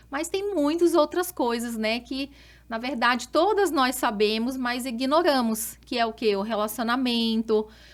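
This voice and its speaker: A woman speaks with a high pitch and lively intonation at a fairly slow pace. The recording is very clean, with a silent background. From Brazil, Rondônia (Porto Velho). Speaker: doctor specializing in women's health. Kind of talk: podcast interview.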